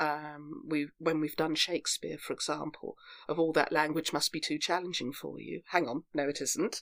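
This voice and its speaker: In a very clean recording with a silent background, a woman with an English accent speaks at a very deep, low pitch with fairly even intonation. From England, Devon. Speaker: actor and theatre group founder. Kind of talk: interview. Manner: hesitant, many fillers and restarts.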